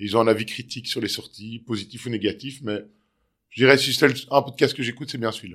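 Talking at a very fast pace, a man with a medium pitch keeps his intonation fairly even while his loudness swings widely. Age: 40s. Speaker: separated father. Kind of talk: interview. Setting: at his home. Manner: halting, frequent hesitations.

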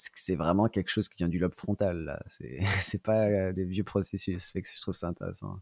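A man with a very deep, low pitch speaks at a moderate pace in a monotone, flat way, with big swings in loudness. The sound is dry and close with no echo, in a very clean recording with a silent background. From France, Lyon. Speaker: marathon runner and running coach. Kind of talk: interview conversation.

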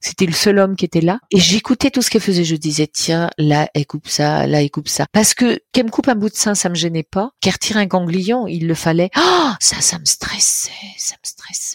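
Dry and close with no echo, a woman's medium-pitched voice moves at a fairly quick pace with lively intonation and an animated, playful tone. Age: 60s. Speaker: storyteller and cancer survivor. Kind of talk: personal testimony, telling her cancer story like a tale. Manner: animated, playful and humorous, dramatic with vivid imagery; expressive storyteller with laughing asides.

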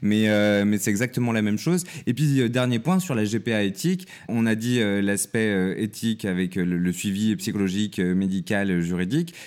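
With a plain, everyday voice, a man speaks at a moderate pace and fairly low pitch, his intonation lively and his loudness very even. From countryside near Lyon, France. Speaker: journalist and TV producer. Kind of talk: interview conversation.

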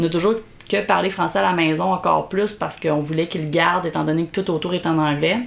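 Very fast and very even in loudness, a woman speaks at fairly low pitch with ordinary pitch variation. There is noticeable background noise. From Quebec, Belle-Chasse area. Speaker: podcast host. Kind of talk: casual chat, playful banter. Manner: playful, laughs often.

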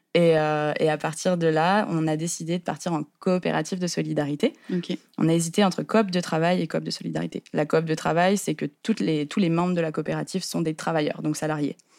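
Speaking at a fairly quick pace with hardly any pauses, a woman uses a very deep, low pitch and fairly even intonation on a very clean recording with a silent background. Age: 20s. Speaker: co-founder of a communication cooperative. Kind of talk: interview.

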